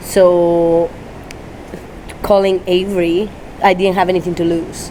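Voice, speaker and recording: Over noticeable background noise, a woman with a Spanish accent speaks fairly slowly at a medium pitch, her intonation monotone and flat. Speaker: dog trainer. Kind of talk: interview. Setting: Tampa, Florida. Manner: halting.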